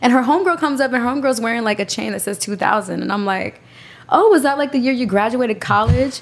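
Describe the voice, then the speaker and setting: A woman's high, animated voice with lively intonation at a very fast pace, amid noticeable background noise. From New York, Puerto Rican. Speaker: podcast guest. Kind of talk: casual chat.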